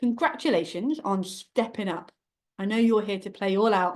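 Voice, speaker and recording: A woman speaks at a fairly high pitch over a quiet background. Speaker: book publishing coach. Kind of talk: masterclass presentation. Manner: fast; animated.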